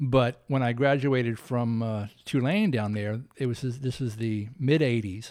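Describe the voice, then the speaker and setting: A man with an American accent and a normal speaking voice talks at a fairly slow pace with hardly any pauses, using a medium pitch and ordinary pitch variation. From US South. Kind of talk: interview.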